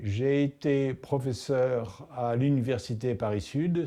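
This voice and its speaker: Dark, mellow tone from a man at a medium pitch. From Tunisia. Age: 70s. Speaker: mathematician, professor. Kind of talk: interview monologue. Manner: hesitant, with filler sounds.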